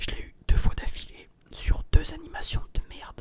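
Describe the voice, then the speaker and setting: A man is whispering. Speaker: ASMR and gaming video creator. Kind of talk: casual talk to camera.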